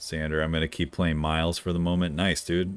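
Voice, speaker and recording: With music in the background, a man talks at a fairly quick pace in a very deep, low voice. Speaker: video game streamer. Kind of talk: casual live-stream gameplay commentary. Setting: live stream. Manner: animated.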